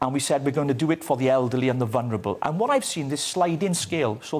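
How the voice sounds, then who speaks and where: With a Welsh accent, a man talks at a very fast pace in a fairly high voice with very wide pitch swings. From Wales. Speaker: political commentator. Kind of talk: TV news interview.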